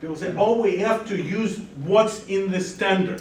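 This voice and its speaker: A man speaks loudly and at a fairly slow pace. There is audible room echo. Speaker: lecturer. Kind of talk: lecture. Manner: animated.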